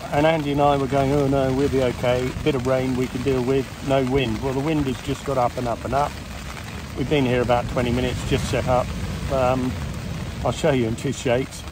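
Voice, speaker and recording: A man talks at a fairly quick pace. The sound is dry with no echo, but noticeable background noise is present. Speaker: fishing vlogger. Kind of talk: casual vlog chat. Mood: wry, good-humoured. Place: tent. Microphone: phone near.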